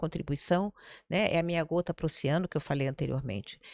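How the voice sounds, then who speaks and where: A woman's fairly low-pitched, ordinary speaking voice at a fairly quick pace, dry and close with no echo, on a very clean recording with a silent background. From Brazil, Rio de Janeiro. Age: 60s. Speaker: city councillor, former investment banker. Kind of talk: podcast interview conversation.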